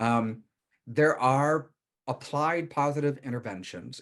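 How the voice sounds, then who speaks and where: An ordinary speaking voice from a man, with ordinary pitch variation over a quiet background. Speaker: counselor and workshop teacher. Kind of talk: workshop lecture.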